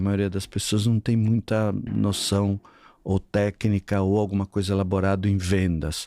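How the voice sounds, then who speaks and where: A man with a fairly low pitch and a dark, mellow tone at a fairly slow pace, in a very clean recording with a silent background and a dry, close sound with no echo. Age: 60s. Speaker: sales consultant for gyms. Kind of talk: podcast interview.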